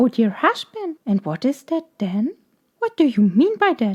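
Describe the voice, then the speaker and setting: In a put-on character voice, a woman speaks at a high pitch with very wide pitch swings and a moderate pace, the sound dry and close with no echo. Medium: read story. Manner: coaxing.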